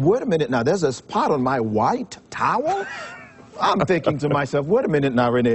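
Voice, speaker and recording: Very wide pitch swings at a fairly quick pace, over noticeable background noise. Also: man. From Haiti, Port-au-Prince. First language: Haitian Creole or French. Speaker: motivational speaker and charity founder. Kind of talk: TV interview.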